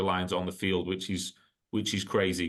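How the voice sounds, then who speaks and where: A man speaks with an English accent. His pitch is fairly low. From northwest England, Blackburn. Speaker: sports club executive. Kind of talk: interview.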